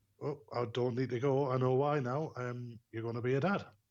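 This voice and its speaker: Speaking in a strong Geordie accent, a man holds a medium pitch with fairly even intonation. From northern England, Newcastle. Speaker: bereaved father. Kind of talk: podcast interview, personal story. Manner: hesitant, many fillers.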